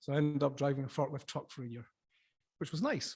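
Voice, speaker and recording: A man with a southern Scottish accent talks at a fairly quick pace on a very clean recording with a silent background. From Scotland, Dumfries and Galloway. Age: 50s. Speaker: sea urchin fisherman and former chef. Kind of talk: conference talk. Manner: casual, with filler words.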